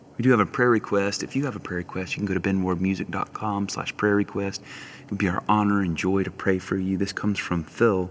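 This man has a plain, everyday voice, fairly low in pitch. He speaks at a fairly quick pace with fairly even intonation. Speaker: prayer leader. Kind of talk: guided prayer and worship; fervent intercessory prayer. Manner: warm, earnest, fervent.

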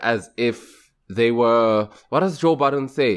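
With lively intonation, a man speaks at a fairly slow pace. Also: quiet background. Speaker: podcast co-host. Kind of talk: casual chat. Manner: loud, excitable.

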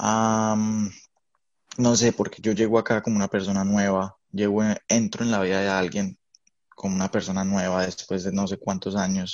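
A man's voice sits fairly low and moves at a moderate pace. His intonation stays flat and monotone. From Colombia. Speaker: podcast co-host. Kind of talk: casual chat.

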